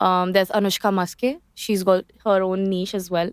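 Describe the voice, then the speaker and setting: A woman with a strong Indian accent speaks at a medium pitch and a fairly slow pace. The recording is very clean, with a silent background and a dry, close sound with no echo. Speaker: lawyer and singer. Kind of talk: podcast interview.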